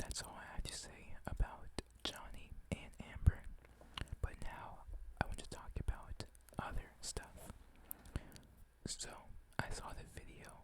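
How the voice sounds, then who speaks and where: A man whispering at a fairly slow pace. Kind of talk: ASMR whisper ramble. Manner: whispered.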